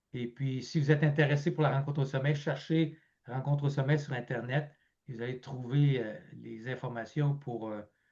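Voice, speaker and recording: A man speaks at a moderate pace in a fairly high voice, somewhat breathy, with a dark, mellow tone and ordinary pitch variation. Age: 70s. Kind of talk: interview conversation. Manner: halting, many fillers.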